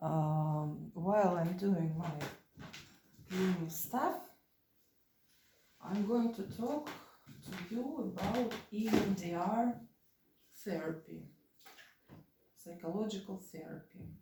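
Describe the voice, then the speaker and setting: In a Russian accent, a woman at medium pitch speaks at a very slow pace with long, frequent pauses and ordinary pitch variation, amid audible room echo. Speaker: vlogger. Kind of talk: casual vlog talk. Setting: at home while cleaning. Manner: halting, many fillers.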